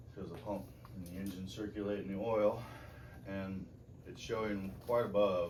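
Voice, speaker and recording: Over noticeable background noise and audible room echo, a man with a fairly low voice speaks at a moderate pace with long, frequent pauses, fairly even intonation, and big swings in loudness. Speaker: mechanic. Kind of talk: tutorial. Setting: garage. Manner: casual.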